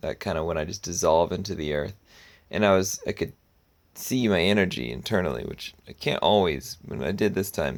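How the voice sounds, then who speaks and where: A man with a very deep, low pitch and vocal fry talks at a fairly quick pace with lively intonation, recorded very cleanly against a silent background. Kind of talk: personal video diary. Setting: outdoors in the woods. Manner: casual, reflective.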